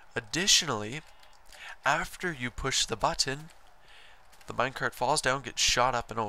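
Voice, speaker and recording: A man's medium-pitched voice with vocal fry, at a moderate pace. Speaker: Minecraft tutorial maker. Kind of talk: game tutorial narration.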